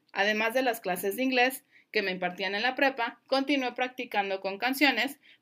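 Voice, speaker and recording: Her voice is high for a woman, with ordinary pitch variation. She talks at a moderate pace on a very clean recording with a silent background. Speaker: language coach and podcast host. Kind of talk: solo educational podcast.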